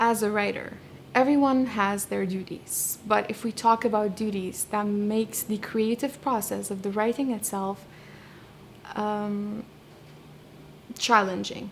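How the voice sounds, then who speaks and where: A woman with a Kurdish accent, a fairly high pitch, fairly even intonation, a fairly slow pace and long, frequent pauses. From Iraqi Kurdistan, Sulaimani. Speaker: poet and translator. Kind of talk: interview. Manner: halting, many fillers and restarts.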